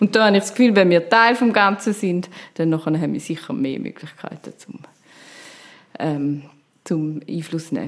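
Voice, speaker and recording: This woman talks at a moderate pace, her loudness swinging widely, with long, frequent pauses. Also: fairly low pitch for a woman. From rural canton of Zurich, Switzerland (Stammheim). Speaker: politician, city councillor and software developer. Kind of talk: interview. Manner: hesitant, with fillers.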